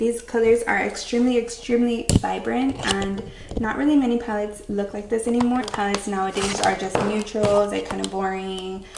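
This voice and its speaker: With noticeable background noise and audible room echo, a woman talks at a fairly quick pace with fairly even intonation. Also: medium pitch for a woman. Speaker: beauty vlogger. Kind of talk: casual chat.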